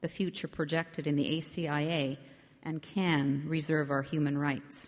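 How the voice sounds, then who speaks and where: A woman talks at a moderate pace. Her voice sits at a fairly low pitch. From Arctic Quebec (Nunavik), Canada. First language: Inuktitut. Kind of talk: public speech. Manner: formal.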